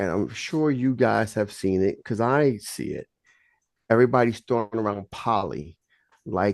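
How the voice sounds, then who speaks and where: The speaker has a New York accent and an animated tone at a moderate pace. The background is quiet. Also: man, medium pitch for a man, ordinary pitch variation, dry, close sound with no echo. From Brooklyn, New York. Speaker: polygamist giving relationship advice. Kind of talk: group discussion.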